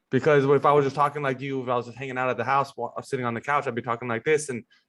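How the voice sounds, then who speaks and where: Mumbling at a very fast pace, a man speaks in a medium pitch with fairly even intonation. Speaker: podcast host. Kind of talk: podcast interview. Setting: podcast.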